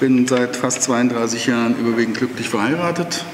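Audible room echo, light background noise, and a man's moderate pace. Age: 60s. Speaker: retiree, party member; candidate. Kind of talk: self-introduction. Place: meeting room. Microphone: camera far.

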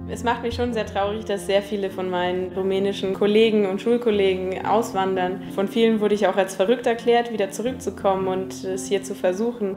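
A woman's medium-pitched voice with ordinary pitch variation, a fairly quick pace and hardly any pauses, over noticeable background noise. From Transylvania, Romania. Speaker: industrial designer. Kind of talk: interview answer.

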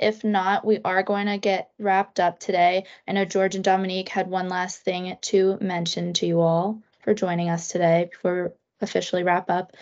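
The setting is quiet. A woman talks at a moderate pace. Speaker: webinar moderator. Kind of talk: webinar moderation. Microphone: video call.

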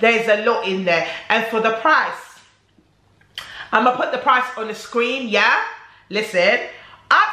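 Moderate-paced speech from a woman, fairly high in pitch, against noticeable background noise. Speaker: beauty and perfume YouTuber. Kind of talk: casual talk to camera, beauty review.

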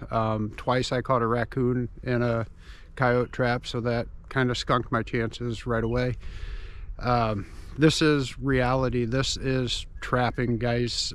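This man talks at a very slow pace in a monotone, flat intonation, with a dry sound that has no echo. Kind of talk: casual vlog chat. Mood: calm, slightly disappointed. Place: open country. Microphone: phone near.

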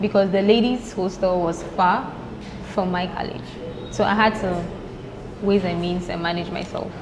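A woman at a medium pitch and a moderate pace, with fairly even intonation, long, frequent pauses and noticeable background noise. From Ghana. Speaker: law student; podcast guest. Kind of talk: casual chat. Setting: studio. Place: cafe.

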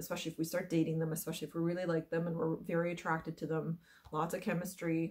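The delivery is very fast, monotone and flat, with very even loudness over a quiet background. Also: woman, fairly low pitch for a woman. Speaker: wellness coach. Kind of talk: casual vlog chat. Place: home room. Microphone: webcam.

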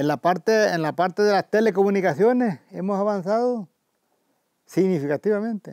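A man with a high voice and ordinary pitch variation talks at a moderate pace, the sound dry with no echo against a quiet background. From El Salvador, Chalatenango; El Salvador. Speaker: community elder and former farmer. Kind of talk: oral history interview. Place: garden.

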